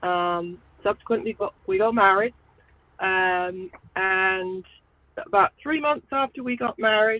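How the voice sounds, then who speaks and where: A woman speaks with an English accent at a medium pitch. Her delivery has long, frequent pauses. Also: ordinary pitch variation, fairly slow pace. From England. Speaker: truck driver. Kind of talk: interview.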